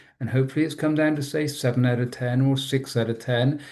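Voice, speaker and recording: Here a man talks with a British accent. His pitch is medium and his intonation fairly even. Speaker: trauma trainer. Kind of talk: webinar presentation. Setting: online webinar.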